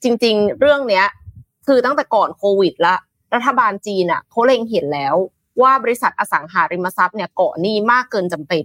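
A woman with a normal speaking voice and a fairly high pitch talks with lively intonation in a dry, close sound with no echo. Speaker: news show co-host. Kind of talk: morning news talk show.

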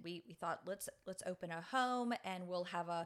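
A woman with a New Orleans accent speaks at a medium pitch. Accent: Southern US (New Orleans area). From US South, New Orleans. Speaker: nonprofit director. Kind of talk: interview.

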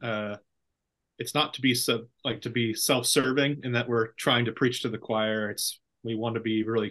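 A man speaks in an ordinary speaking voice at medium pitch and a moderate pace over a quiet background. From California Central Valley. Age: 30s. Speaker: pastor. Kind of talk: casual chat.

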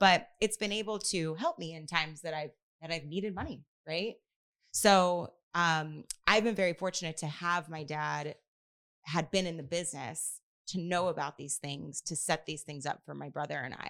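Very clean recording with a silent background: a normal speaking voice at a moderate pace, ordinary pitch variation, and big swings in loudness. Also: woman, fairly low pitch for a woman. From Houston, Texas. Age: 30s. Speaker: financial advisor. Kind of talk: interview.

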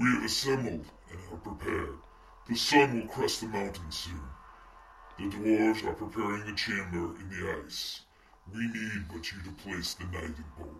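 Using a put-on character voice, a man speaks at a fairly low pitch and moderate pace. There is slight echo. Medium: audio drama. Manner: imperious.

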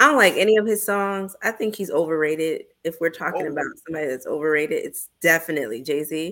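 On a very clean recording with a silent background, a woman speaks very fast at a fairly low pitch. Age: 30s. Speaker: podcast co-host, guest. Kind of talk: casual group chat; podcast plug for own show.

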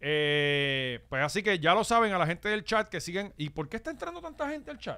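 Fairly quick and with hardly any pauses, a man with a Puerto Rican accent speaks in a high pitch and a bright, sharp tone, with very wide pitch swings. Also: very clean recording, silent background. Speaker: podcast host. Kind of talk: casual chat. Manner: animated.

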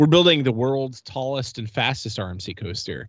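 Animated and enthusiastic, a man talks at a medium pitch with ordinary pitch variation. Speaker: podcast host. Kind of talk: casual chat, podcast. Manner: animated, fast, enthusiastic.

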